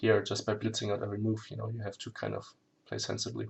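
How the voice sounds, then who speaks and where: A man with a German accent speaks in a fairly low pitch, his intonation flat and monotone. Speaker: chess streamer. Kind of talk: live game commentary. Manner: halting, self-correcting; hurried.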